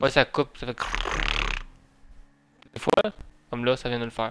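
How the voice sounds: A man's clear, smooth tone at a moderate pace, with little pitch movement. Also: medium pitch for a man.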